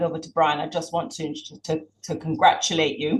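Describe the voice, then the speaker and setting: This woman has a British accent and talks at a fairly quick pace. Her voice is somewhat breathy. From Jamaica, educated in Britain. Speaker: campaign organizer. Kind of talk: launch event speech.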